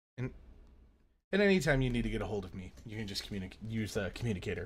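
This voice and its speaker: A man puts on a raspy character voice at a fairly low pitch. He talks at a very fast pace. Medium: actual play. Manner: measured, calm.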